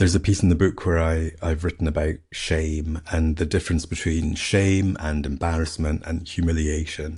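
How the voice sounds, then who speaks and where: A man with a Scottish accent speaks in a very deep, low voice that is somewhat breathy. His pace is moderate, with hardly any pauses. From Scotland. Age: middle-aged. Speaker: podcast host and author. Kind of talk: casual monologue. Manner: animated.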